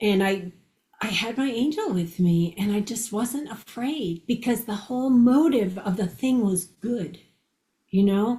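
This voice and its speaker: A woman's fairly high voice at a fairly slow pace, with ordinary pitch variation and an unremarkable speaking voice. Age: 60s. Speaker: near-death experiencer and author. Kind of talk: interview storytelling.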